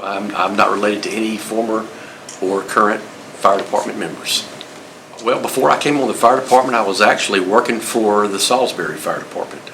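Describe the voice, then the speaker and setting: With a North Carolina accent, a man talks at a fairly quick pace in a fairly low pitch. His intonation is fairly even, and there is audible room echo along with noticeable background noise. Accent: US Southern (North Carolina). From North Carolina, Greensboro. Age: 60s. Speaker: retired fire marshal. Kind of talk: oral history interview. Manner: halting, many fillers.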